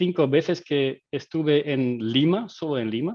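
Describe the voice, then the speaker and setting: Speaking very slowly in a Dutch accent, a man uses a fairly high pitch with ordinary variation. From Belgium, Dutch-speaking. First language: Dutch (speaking Spanish). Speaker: agile coach and game designer. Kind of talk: webinar presentation. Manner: halting, many fillers.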